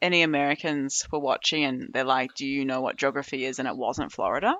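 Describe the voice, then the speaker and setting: A woman's very deep, low pitch with an Australian accent at a fairly quick pace. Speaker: podcast guest. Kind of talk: casual chat. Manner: laughing.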